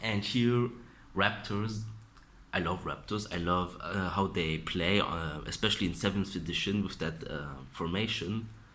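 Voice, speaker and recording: Man with a non-native accent and ordinary pitch variation. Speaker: miniature hobbyist. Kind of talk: casual talk to camera.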